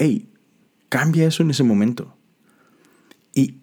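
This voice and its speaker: A man speaks with lively intonation. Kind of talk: devotional talk. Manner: halting with frequent repetitions.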